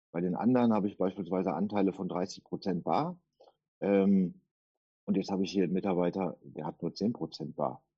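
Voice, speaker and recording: Here a man talks at a fairly quick pace. His pitch is very deep and low. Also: ordinary pitch variation. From Duisburg, Ruhr area, Germany. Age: 50s. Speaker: tax auditor. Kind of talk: interview. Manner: hesitant fillers.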